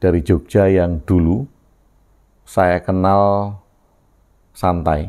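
A man speaks in a very deep, low pitch with a dark, mellow tone. His pitch varies in an ordinary way over a quiet background. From Yogyakarta, Java, Indonesia. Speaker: video blogger sharing reflections. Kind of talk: reflective monologue. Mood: calm, thoughtful. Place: home room. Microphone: lapel.

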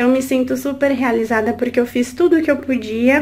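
A woman speaks at a high pitch. Her pace is moderate and her intonation fairly even. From Brazil, São Paulo. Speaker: new mother, course student. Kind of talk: video testimonial. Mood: warm, grateful. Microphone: phone near.

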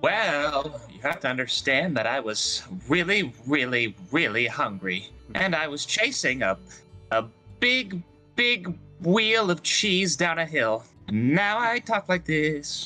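A man's put-on character voice, fairly high in pitch with very wide pitch swings, fairly slow, with faint music in the background. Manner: playful, telling a tall tale.

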